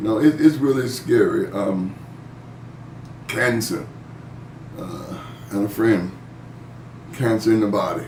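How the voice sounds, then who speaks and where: This man has a medium pitch and talks at a fairly slow pace. Noticeable background noise and audible room echo fill the recording. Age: 60s. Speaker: pastor leading Bible study. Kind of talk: online Bible study discussion. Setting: video call. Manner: casual, conversational.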